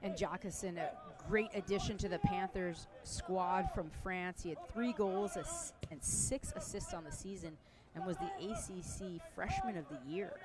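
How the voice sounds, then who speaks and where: Noticeable background noise accompanies fairly slow speech in an American accent. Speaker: color commentator. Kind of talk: live commentary.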